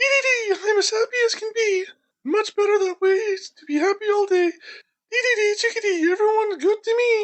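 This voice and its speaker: This is a put-on character voice, squeaky and extremely high in pitch. It moves at a moderate pace. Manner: cheery, chattering.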